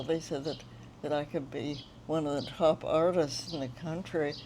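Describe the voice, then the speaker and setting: At a fairly slow pace, a woman speaks with a fairly low pitch, a dark, mellow tone and ordinary pitch variation. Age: 90s. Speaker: retired painter. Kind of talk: interview. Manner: halting.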